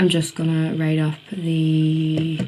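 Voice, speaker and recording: A woman with a Northern Irish accent amid noticeable background noise. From Northern Ireland. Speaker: university student and beauty vlogger. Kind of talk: casual vlog narration. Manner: chatty, informal.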